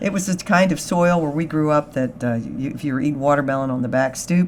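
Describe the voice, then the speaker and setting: A woman with a very deep, low voice and an American accent, at a fairly quick pace. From US, Eastern Shore of Maryland. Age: 60s. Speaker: R&B bandleader and singer. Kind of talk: radio interview. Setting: radio studio.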